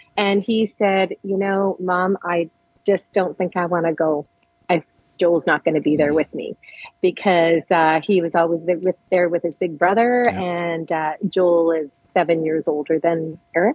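With a Canadian accent and a plain, everyday voice, a woman with a fairly low pitch talks at a moderate pace with fairly even intonation. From Edmonton, Alberta. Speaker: bereaved parent, charity volunteer. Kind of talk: interview, personal testimony.

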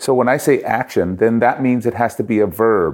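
In a Canadian accent, a man speaks with a plain, everyday voice at a medium pitch and a moderate pace. The recording is very clean, with a silent background. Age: 50s. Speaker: author and speaker, former radio host and jazz singer. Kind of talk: interview.

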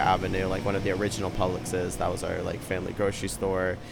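Over noticeable background noise, a man with a very deep, low pitch speaks very fast in an American accent. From Tampa, Florida. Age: 20s. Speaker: local resident. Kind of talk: interview. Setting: outdoors.

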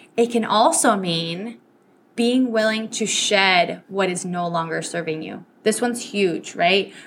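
A woman with a Spanish accent talks at a fairly slow pace in an animated tone, at medium pitch with ordinary pitch variation. There is noticeable background noise. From Venezuela. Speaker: podcast host and business coach. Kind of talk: solo podcast talk. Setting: travel microphone with background noise.

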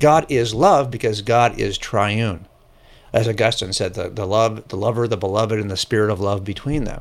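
A man's plain, everyday voice, fairly low in pitch, with ordinary pitch variation and a moderate pace. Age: 60s. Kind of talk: casual interview.

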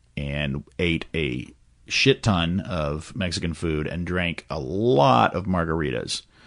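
Speaking very slowly with an American accent, a man uses a very deep, low pitch with vocal fry and lively intonation against a quiet background. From Texas, Houston. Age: 40s. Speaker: podcast guest. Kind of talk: casual interview.

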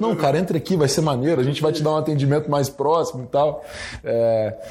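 A man with a fairly high pitch and ordinary pitch variation talks fairly quickly, noticeable background noise behind him. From Brazil, Espírito Santo (Guarapari). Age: young. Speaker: retail entrepreneur. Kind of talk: interview. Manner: casual, filler-heavy.

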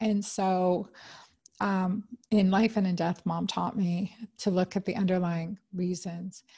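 Against a quiet background, a somewhat breathy voice with a dark, mellow tone talks at a fairly slow pace in monotone, flat intonation. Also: woman. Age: 50s. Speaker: OB-GYN doctor and podcast host. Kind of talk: solo health talk.

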